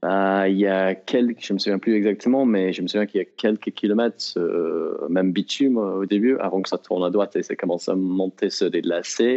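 A man with an English accent talks at a fairly quick pace with hardly any pauses. His pitch is fairly low and his intonation fairly even. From Britain. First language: English (speaking French). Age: 30s. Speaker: elite trail runner. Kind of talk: interview.

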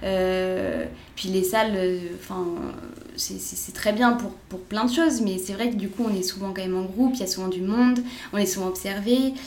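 A woman's medium-pitched voice comes with audible room echo and noticeable background noise. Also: ordinary pitch variation, moderate pace. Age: 20s. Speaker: sports coach. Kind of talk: interview. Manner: hesitant.

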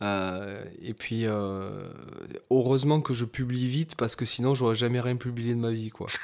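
This man has an ordinary speaking voice at a medium pitch, with fairly even intonation and a fairly slow pace. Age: 30s. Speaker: guitarist and podcast co-host. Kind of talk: casual chat.

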